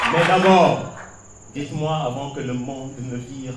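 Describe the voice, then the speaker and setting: The pace is very slow. Background noise is noticeable throughout. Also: man. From Senegal. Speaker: slam poet. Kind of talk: slam poetry performance.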